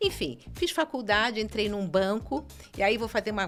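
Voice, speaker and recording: With music in the background, a woman's pitch swings very widely. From Brazil, Rio de Janeiro. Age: 60s. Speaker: city councillor. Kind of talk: podcast interview.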